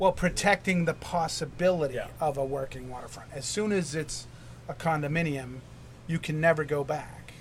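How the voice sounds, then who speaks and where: The voice is somewhat breathy, with an American accent. It moves at a moderate pace with ordinary pitch variation. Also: man, fairly high pitch for a man. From New Hampshire, US. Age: 50s. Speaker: urchin diver and lobsterman. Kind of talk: interview. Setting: on a wharf.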